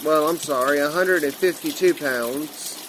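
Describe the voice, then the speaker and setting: A man at a fairly slow pace with fairly even intonation, amid noticeable background noise. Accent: American. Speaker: vlogger. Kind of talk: casual personal vlog.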